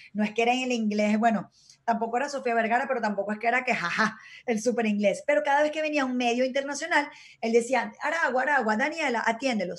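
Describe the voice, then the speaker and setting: With ordinary pitch variation, the delivery rushes along at a very fast pace. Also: woman, high pitch for a woman. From Venezuela. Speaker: former beauty queen, TV presenter. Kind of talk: casual chat.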